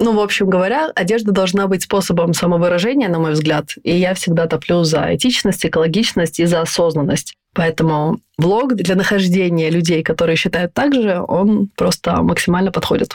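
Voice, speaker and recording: An unremarkable speaking voice from a woman, fairly low in pitch, with ordinary pitch variation, very even loudness, a moderate pace and hardly any pauses. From Estonia. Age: 30s. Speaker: stylist and blogger. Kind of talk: casual chat. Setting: video call.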